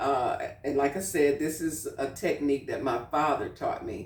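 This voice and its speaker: Fairly slow speech in a woman's very deep, low pitch. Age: 60s. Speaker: cooking channel host. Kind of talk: casual cooking tutorial. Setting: home kitchen. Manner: conversational, with frequent fillers.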